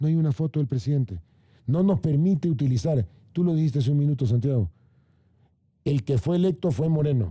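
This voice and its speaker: Somewhat breathy, with a dark, mellow tone and fairly high pitch, a man keeps very even loudness and lively intonation at a fairly quick pace, with long, frequent pauses. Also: dry, close sound with no echo. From Ecuador, Guayaquil (coast). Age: 60s. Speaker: government official. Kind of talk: panel debate. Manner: animated.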